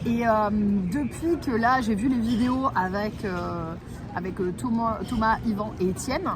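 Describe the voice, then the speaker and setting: With music in the background and audible room echo, a woman speaks in an animated tone at a fairly high pitch with ordinary pitch variation. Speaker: travel vlogger and live streamer. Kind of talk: casual chat on a live stream. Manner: fast.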